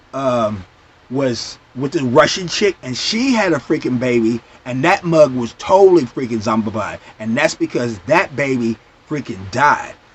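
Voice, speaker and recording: A man with a medium-pitched voice and an animated tone speaks fairly slowly with lively intonation amid noticeable background noise. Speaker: TV show reviewer. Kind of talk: casual vlog review.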